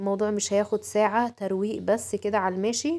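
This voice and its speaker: Her tone is dark and mellow. The woman speaks at a moderate pace. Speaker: home vlogger. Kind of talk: home routine vlog. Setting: at home. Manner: casual, many fillers.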